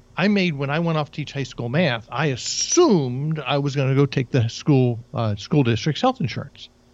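This man has an unremarkable speaking voice, fairly high in pitch, with ordinary pitch variation and a moderate pace. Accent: American. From New Jersey. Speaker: career coach. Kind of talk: interview.

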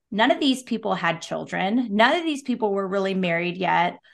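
Over a quiet background, a woman with a West Coast accent speaks with lively intonation. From Oregon (Salem). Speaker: real estate broker and business owner. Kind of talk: casual chat.

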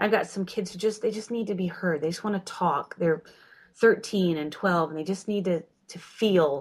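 Somewhat breathy speech with big swings in loudness and ordinary pitch variation moves at a moderate pace in a very clean recording with a silent background. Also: woman, medium pitch for a woman. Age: 40s. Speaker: homeschooling mother. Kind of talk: casual chat.

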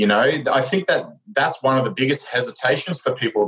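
The speaker has lively intonation and an Australian accent. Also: man. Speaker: strength coach and former Olympic swimmer. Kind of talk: casual chat.

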